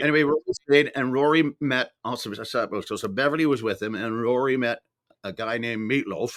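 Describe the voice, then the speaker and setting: A man's plain, everyday voice at medium pitch, with ordinary pitch variation, a fairly quick pace, and a dry, close sound with no echo. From Canada. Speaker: voice actor. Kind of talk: interview answer.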